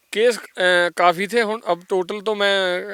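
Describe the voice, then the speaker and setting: A man with a Punjabi accent and fairly even intonation, in a dry, close recording with no echo. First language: Punjabi (speaking Hindi). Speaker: former gangster turned singer. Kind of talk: interview. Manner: halting, many fillers.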